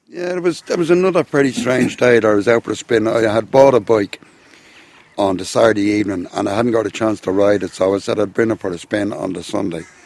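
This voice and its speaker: Over noticeable background noise, a man with an Irish accent talks at a very fast pace. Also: fairly low pitch for a man, lively intonation. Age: 60s. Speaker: medieval warfare instructor. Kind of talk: interview. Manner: casual, halting.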